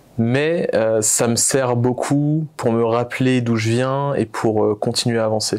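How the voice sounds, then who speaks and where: Speaking very slowly with a Réunion accent, a man keeps a medium pitch, very even loudness and fairly even intonation. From Réunion (Saint-Pierre). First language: Réunion Creole (speaking French). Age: 20s. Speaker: entrepreneur. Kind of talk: interview. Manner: hesitant, many fillers.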